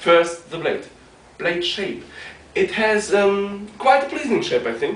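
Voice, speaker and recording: A fairly slow delivery with noticeable background noise and audible room echo. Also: man. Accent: non-native. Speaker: martial arts practitioner reviewing gear. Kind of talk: product review. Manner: hesitant, with frequent ums.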